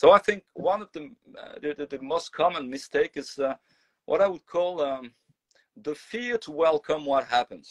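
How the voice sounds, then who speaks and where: A man with a high voice speaks at a moderate pace with lively intonation, his loudness swinging widely, in a dry, close recording with no echo and long, frequent pauses. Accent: French. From France. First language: French. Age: 40s. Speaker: singer and voice teacher. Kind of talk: casual chat. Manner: halting, many fillers and repeats.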